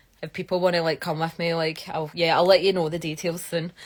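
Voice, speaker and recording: A woman with a Scottish accent at a very fast pace. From Scotland. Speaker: geologist. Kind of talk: live stream chat. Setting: live stream. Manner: animated.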